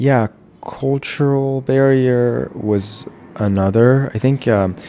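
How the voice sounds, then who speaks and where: A man with an Iranian accent, at a very slow pace, with fairly even intonation. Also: medium pitch for a man. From Iran until 13, then Virginia, US. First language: Farsi. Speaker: jazz house musician. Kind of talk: podcast interview. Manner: casual, many fillers.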